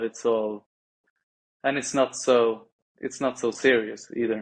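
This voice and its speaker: A man with a non-native accent speaks at a very slow pace, his medium-pitched voice monotone and flat. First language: not English. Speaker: podcast guest. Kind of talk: casual chat. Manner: halting.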